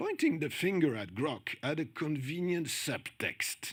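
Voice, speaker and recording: Bright and sharp in tone, a man's voice moves at a fairly slow pace. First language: French. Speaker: conference speaker on journalism. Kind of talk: conference talk.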